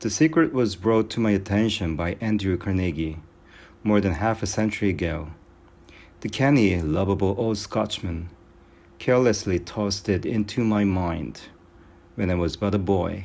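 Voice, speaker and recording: A man speaks at a moderate pace in a fairly low pitch with a non-native accent. His pitch varies in an ordinary way, and he takes long, frequent pauses. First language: not English. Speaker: amateur audiobook reader. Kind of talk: reading aloud. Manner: halting, self-correcting.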